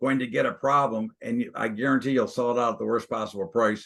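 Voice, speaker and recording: A man talks at a fairly quick pace in a normal speaking voice with ordinary pitch variation. The background is quiet. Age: 60s. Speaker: stock and commodities trader. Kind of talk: interview.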